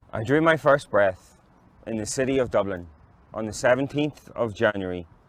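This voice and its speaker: A man's medium-pitched voice moves along at a fairly slow pace. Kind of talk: literary reading. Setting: outdoors.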